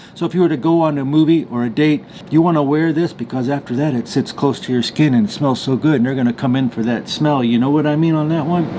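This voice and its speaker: Over noticeable background noise, a man with a fairly high pitch and ordinary pitch variation talks very fast, hardly pausing at all. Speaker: fragrance reviewer. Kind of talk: product review. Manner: animated.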